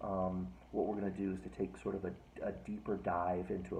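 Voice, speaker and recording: Whispering and soft-spoken, a man speaks with vocal fry amid audible room echo. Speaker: philosophy professor. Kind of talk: lecture. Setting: at home, recorded video. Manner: soft-spoken, near whisper; halting, many fillers.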